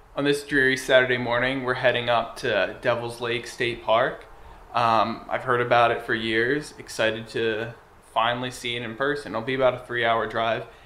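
Over light background noise and audible room echo, a man talks at a moderate pace in a monotone, flat intonation. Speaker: camping vlogger. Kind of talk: casual vlog chat. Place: garage. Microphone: phone near.

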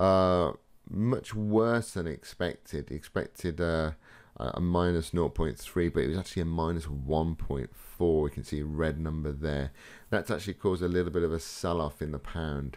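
The man's pitch is very deep and low. He speaks at a fairly slow pace against a quiet background. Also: ordinary pitch variation. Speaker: trading educator. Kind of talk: tutorial.

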